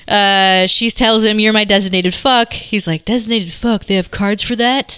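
Speaking at a fairly quick pace, a woman with an American accent and medium pitch has a plain, everyday voice. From Seattle, US Pacific Northwest. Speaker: podcast guest, film discussant. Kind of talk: casual chat with plot recaps. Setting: home basement recording with others at a table.

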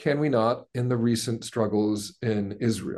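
A man with an American accent speaks at a very slow pace against a quiet background. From United States. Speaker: professor. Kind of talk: webinar talk, expository.

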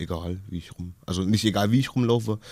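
On a very clean recording with a silent background, a man speaks in a fairly low pitch with a dark, mellow tone. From Kassel, northern Hesse. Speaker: musician and casting show contestant. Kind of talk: radio interview. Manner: halting.

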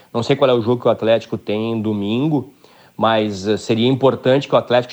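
This is a man with an ordinary speaking voice. His pitch sits in the medium range and varies in an ordinary way. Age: 50s. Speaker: football club ex-director and commentator. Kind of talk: radio interview.

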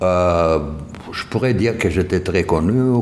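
A man with a Romanian accent talks at a very slow pace. Audible room echo and noticeable background noise accompany him. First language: Romanian (speaking French). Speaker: Romanian community leader, former designer. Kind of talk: interview testimony.

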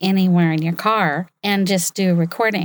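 An ordinary speaking voice at a fairly slow pace, dry and close with no echo. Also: woman, very clean recording, silent background. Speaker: voiceover artist. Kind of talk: talk to an audience. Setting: stage with audience.

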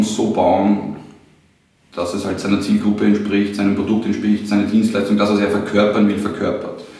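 A man speaks with a fairly low pitch and an Austrian accent. The room echo is audible, and background noise is noticeable. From Austria, near Baden, Lower Austria. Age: 30s. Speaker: designer, ad agency owner. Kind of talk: casual interview.

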